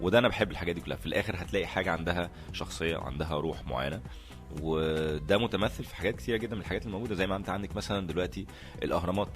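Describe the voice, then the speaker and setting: Music in the background behind a man's very deep, low pitch, very fast pace and lively intonation. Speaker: actor. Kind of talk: interview answer. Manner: hesitant, thinking aloud.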